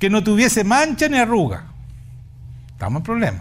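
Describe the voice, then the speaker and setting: In a room with audible echo, a man talks at a fairly quick pace, his pitch swinging very widely. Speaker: pastor. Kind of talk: sermon. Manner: animated.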